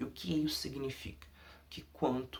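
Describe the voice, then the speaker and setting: A man talks at a fairly slow pace and at medium pitch. His voice is somewhat breathy. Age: 20s. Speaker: undergraduate researcher. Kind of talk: academic presentation.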